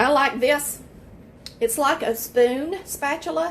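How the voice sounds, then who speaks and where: A woman with a high pitch, in a Southern US accent. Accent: US South. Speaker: home baker. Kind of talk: tutorial. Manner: loud; casual.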